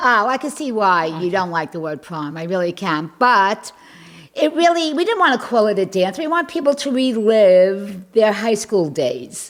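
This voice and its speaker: With a New York accent, a woman speaks at a moderate pace in a fairly high voice that swings very widely in pitch. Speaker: community club co-founder. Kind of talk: casual interview. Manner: animated.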